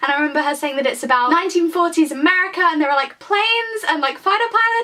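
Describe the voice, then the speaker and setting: With a British accent, a woman speaks at a very fast pace in a raised, projected voice, her tone animated and her intonation lively. Noticeable background noise runs underneath. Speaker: book vlogger. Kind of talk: casual vlog chat.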